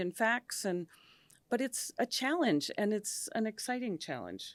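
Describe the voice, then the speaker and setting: A woman's fairly high voice with an American accent at a fairly slow pace, dry and close with no echo, in a very clean recording over a silent background. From US Midwest, Minnesota. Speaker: diplomat. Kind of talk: podcast interview.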